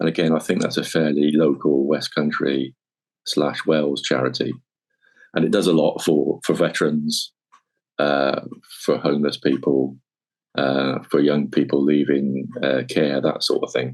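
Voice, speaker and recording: At a very deep, low pitch with vocal fry, a man talks at a moderate pace with very even loudness and fairly even intonation. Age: 60s. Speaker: military veteran. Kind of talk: podcast interview. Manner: casual, with hesitations.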